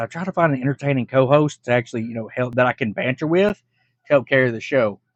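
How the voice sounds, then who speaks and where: A man with an ordinary speaking voice and an American accent, fairly high pitch, ordinary pitch variation and a fairly quick pace, in a dry, close sound with no echo. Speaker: reaction video creator. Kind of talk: casual reaction commentary.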